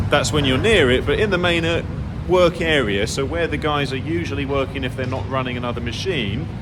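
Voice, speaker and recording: A man talks fairly quickly with very wide pitch swings, with audible room echo and noticeable background noise. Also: medium pitch for a man. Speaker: furniture maker and workshop owner. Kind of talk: tutorial. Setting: workshop.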